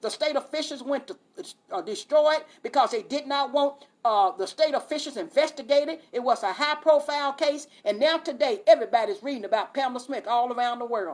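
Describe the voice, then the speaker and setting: A woman speaks at a high pitch and a fairly quick pace. Her intonation is lively. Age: 60s. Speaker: activist. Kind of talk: testimony. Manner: impassioned; halting repetitions.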